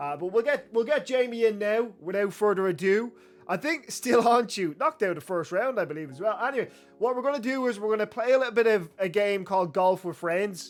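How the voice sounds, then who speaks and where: Over music in the background, a man with an Irish accent talks at a fairly quick pace in a high pitch, his tone animated and his intonation lively. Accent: Irish, milder than guest's. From Ireland. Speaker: streamer. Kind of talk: live stream chat.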